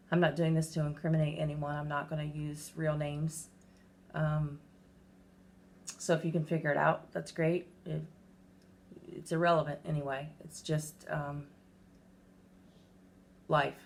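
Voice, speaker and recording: Somewhat breathy and very deep, a woman's voice moves at a fairly slow pace in a flat monotone with long, frequent pauses. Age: 40s. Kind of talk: casual talk to camera.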